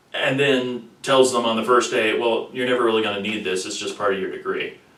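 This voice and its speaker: A man talks at a fairly quick pace. Noticeable background noise runs under his voice. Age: 30s. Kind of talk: personal explanatory talk to camera. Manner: articulate.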